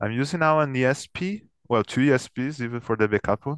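A man speaks with a Portuguese accent against a quiet background. The sound is dry and close, with no echo. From São Paulo, Brazil. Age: 30s. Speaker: metal band guitarist. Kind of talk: casual interview chat. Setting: video call.

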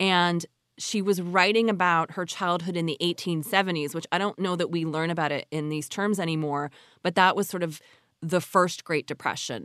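A woman's unremarkable speaking voice, fairly low in pitch, with fairly even intonation and a moderate pace, recorded dry and close with no echo against a quiet background. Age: 40s. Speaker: podcast host and journalist. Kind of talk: casual interview.

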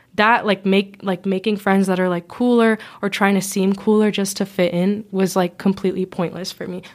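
In a plain, everyday voice, a woman speaks at a medium pitch and moderate pace on a very clean recording with a silent background. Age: young. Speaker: college-bound student. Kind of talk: casual chat. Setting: studio.

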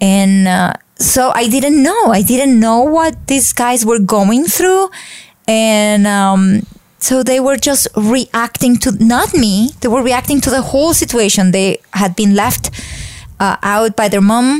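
Very slow and very even in loudness, a woman's fairly high voice moves with lively intonation. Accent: Colombian. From Colombia, Bogota. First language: Spanish. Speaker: faith speaker. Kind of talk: interview.

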